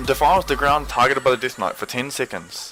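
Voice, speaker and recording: Noticeable noise runs in the background. Over it, a man talks at a fairly quick pace. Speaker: gaming video creator. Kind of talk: tutorial. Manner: monotone; wavy nervous.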